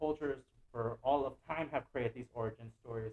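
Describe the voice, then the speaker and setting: A man of medium pitch talks at a fairly quick pace with fairly even intonation. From Guatemala City, raised in the US from age four. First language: Spanish. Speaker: visual artist. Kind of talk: artist lecture. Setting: online lecture.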